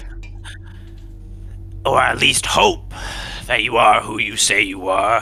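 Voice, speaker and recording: A man whispers in a put-on character voice at a moderate pace, with long, frequent pauses. Clear music plays in the background. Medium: actual play. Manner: formal, grave.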